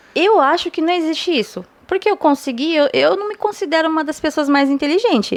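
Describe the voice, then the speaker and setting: Using lively intonation at a fairly quick pace, a woman with a slight non-native accent speaks at an extremely high pitch. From Japan. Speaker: language teacher. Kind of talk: casual chat.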